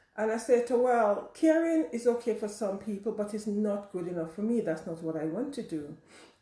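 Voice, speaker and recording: Lively intonation and a fairly quick pace come through noticeable background noise. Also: woman. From Caribbean. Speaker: teacher and coach. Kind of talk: personal talk to camera. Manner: halting.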